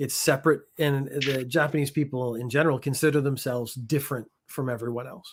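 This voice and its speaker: In a Canadian accent, a man with a normal speaking voice talks at a fairly quick pace and fairly high pitch, his intonation fairly even but his loudness swinging widely. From Canada. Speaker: former judo athlete living in Japan. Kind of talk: casual chat.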